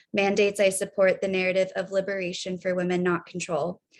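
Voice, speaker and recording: A woman talks at a fairly quick pace in a medium pitch. Her intonation is monotone and flat against a quiet background. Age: 30s. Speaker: personal testimony speaker. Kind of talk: testimony. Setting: video call.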